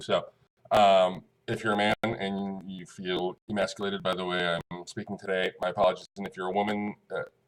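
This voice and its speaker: Recorded in a dry, close sound with no echo, a man speaks at a fairly low pitch with fairly even intonation. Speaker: online community member thanking a gift giver. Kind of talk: casual thank-you video. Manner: fast; rambling, hesitant with many fillers.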